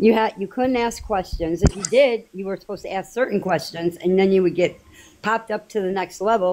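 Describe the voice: A woman's medium-pitched voice with a dark, mellow tone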